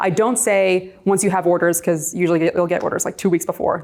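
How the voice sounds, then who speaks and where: A woman's medium-pitched voice at a very fast pace, fairly even in intonation, over noticeable background noise. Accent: American. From New York. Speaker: real estate agent and coach. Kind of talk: presentation. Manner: loud; talkative.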